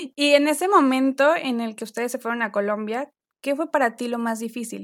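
A woman speaks in an ordinary speaking voice at a fairly high pitch and a moderate pace, with ordinary pitch variation and big swings in loudness, on a very clean recording with a silent background. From Mexico. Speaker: podcast host. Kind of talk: interview.

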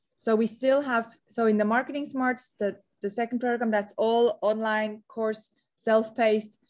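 Spoken at a moderate pace in a slight Swiss accent, the voice keeps a monotone, flat intonation. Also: woman, fairly high pitch for a woman. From Switzerland. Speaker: entrepreneur and marketing strategist. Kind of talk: interview.

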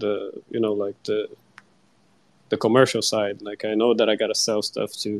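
A Brazilian accent in a dry, close sound with no echo. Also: man. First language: Portuguese. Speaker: digital artist. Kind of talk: casual chat. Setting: live online audio chat. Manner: slightly shy, hesitant.

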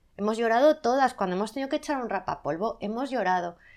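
A woman talks with ordinary pitch variation. The recording is very clean, with a silent background. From Spain, Zaragoza (Aragon). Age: 40s. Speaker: magazine editor. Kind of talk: casual interview. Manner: loud at times.

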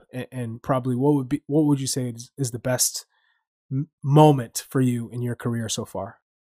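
A man speaks in a monotone, flat intonation at a medium pitch and a moderate pace, his tone dark and mellow. The sound is dry and close with no echo, on a very clean recording with a silent background. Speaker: podcast co-host. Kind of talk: casual interview.

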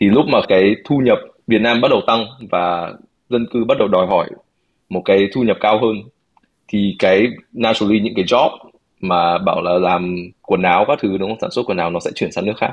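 Pausing long and often, a man with a fairly low pitch speaks at a moderate pace with ordinary pitch variation. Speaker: podcast co-host. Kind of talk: casual discussion with English code-switching.

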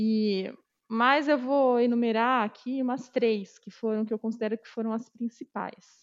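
At a fairly slow pace, a woman speaks in a plain, everyday voice with a fairly high pitch and big swings in loudness. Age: 30s. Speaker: quality assurance professional. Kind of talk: interview testimony.

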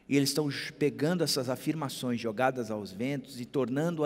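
Using a normal speaking voice, a man at medium pitch talks at a moderate pace with fairly even intonation. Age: 50s. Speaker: pastor. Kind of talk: sermon.

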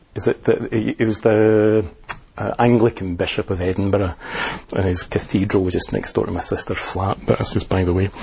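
A man with a fairly low voice talks fairly quickly and with fairly even intonation while noticeable noise sounds in the background. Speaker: Buddhist teacher and liaison officer. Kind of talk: lecture. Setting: talk to an audience. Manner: hesitant, self-correcting.

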